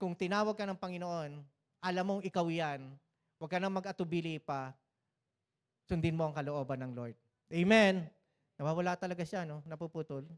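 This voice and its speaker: The recording of this fairly quick-paced man is very clean, with a silent background and a dry, close sound with no echo. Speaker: pastor. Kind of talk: sermon. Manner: animated.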